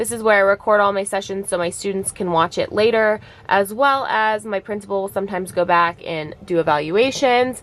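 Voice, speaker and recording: A woman talks at a fairly quick pace with hardly any pauses. Her pitch sits in the middle, and there is noticeable background noise. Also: ordinary pitch variation. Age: 20s. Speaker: virtual special education teacher. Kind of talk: tutorial. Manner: casual, with many fillers.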